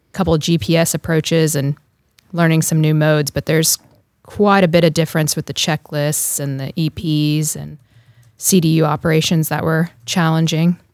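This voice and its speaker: A woman with an American accent speaks at a moderate pace in a very deep, low voice. Her intonation is flat and monotone, and the sound is dry and close with no echo. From US South, North Carolina. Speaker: Coast Guard pilot. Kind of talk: casual interview.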